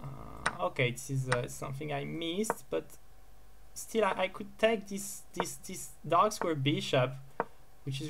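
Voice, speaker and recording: A fairly slow pace against noticeable background noise. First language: not English. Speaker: chess player streaming his games. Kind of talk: live commentary while playing bullet chess. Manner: halting, with many repeated words and fillers.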